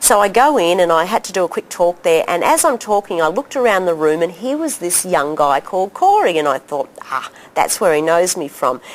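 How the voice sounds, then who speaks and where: A woman with an Australian accent speaks at a fairly quick pace, her fairly low voice rising and falling in a lively way. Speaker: doctor and health educator. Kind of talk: interview storytelling. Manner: animated.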